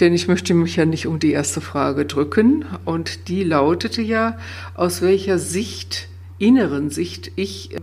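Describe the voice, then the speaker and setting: The voice moves at a fairly slow pace with very wide pitch swings. Noticeable background noise and audible room echo surround it. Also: woman, very deep, low pitch for a woman. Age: 60s. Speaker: coach and former nurse. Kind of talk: interview. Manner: hesitant fillers.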